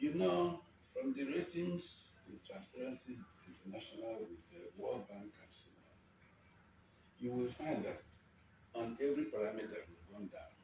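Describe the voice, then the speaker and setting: A man talks at a moderate pace with very wide pitch swings and big swings in loudness. Long, frequent pauses break up his speech, and there is noticeable background noise. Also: medium pitch for a man. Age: 80s+. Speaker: elder statesman, economist. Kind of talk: interview answer.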